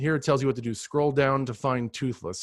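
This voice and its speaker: A man with an unremarkable speaking voice talks at a fairly quick pace and medium pitch, the sound dry with no echo over a quiet background. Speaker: ed tech trainer for teachers. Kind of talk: live virtual training tutorial. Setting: video call. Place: home room. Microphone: webcam.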